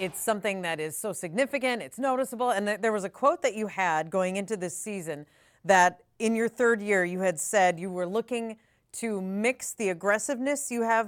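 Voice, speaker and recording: A woman with a plain, everyday voice talks at a moderate pace, her medium pitch carrying lively intonation. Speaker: sports podcast host. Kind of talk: casual interview. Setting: video call.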